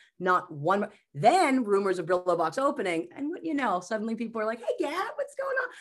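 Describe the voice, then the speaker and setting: An animated voice moves at a fairly quick pace over a quiet background. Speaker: comedian and mental health speaker. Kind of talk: casual chat.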